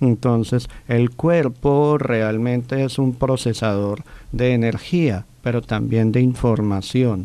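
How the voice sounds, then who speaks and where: A man's very slow, dark, mellow delivery with fairly even intonation and very even loudness, in a dry sound with no echo. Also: hardly any pauses. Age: 40s. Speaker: physician and alternative therapist; interview guest, speaker. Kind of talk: interview. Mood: calm, explanatory. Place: studio. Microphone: studio mic.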